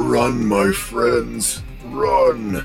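Over clear background music, a man puts on a guttural character voice. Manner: urgent, commanding.

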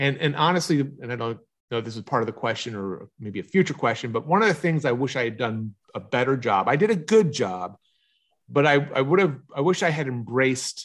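A man with a Philadelphia accent, medium pitch, lively intonation and a fairly quick pace against a quiet background. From Philadelphia area, US. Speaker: marketing consultant and book coach. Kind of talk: casual interview.

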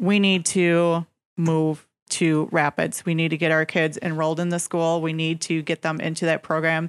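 Delivered at a moderate pace in an Upper Midwest accent, the voice has monotone, flat intonation and very even loudness, recorded very cleanly over a silent background with a dry, close sound and no echo. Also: woman, fairly low pitch for a woman. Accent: Upper Midwest American. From central Wisconsin. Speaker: real estate agent, radio co-host. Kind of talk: radio talk show. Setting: radio studio.

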